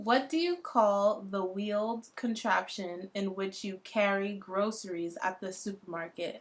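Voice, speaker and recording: Speaking with a New York accent, a woman barely pauses and uses ordinary pitch variation. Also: medium pitch for a woman, fairly slow pace. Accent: American, New York. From New York City, USA. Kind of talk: casual talk to camera.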